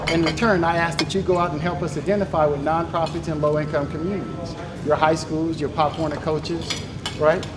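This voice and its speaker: A loud, high-pitched man's voice with audible room echo and noticeable background noise. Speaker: nonprofit gaming league founder. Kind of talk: presentation.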